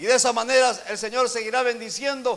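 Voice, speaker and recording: At a moderate pace, a man talks with fairly even intonation and an extremely high pitch. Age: 60s. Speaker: pastor. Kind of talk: sermon.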